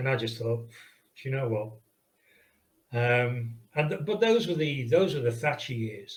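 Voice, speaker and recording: Somewhat breathy and medium in pitch, a man talks at a fairly slow pace with ordinary pitch variation, and audible room echo surrounds his voice. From Liverpool, England. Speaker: video game pixel artist. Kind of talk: casual interview chat. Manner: hesitant, with fillers and restarts.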